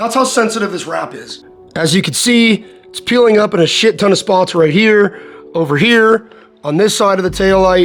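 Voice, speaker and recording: Music plays in the background while the speaker goes at a moderate pace. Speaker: car enthusiast. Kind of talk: casual talk to camera.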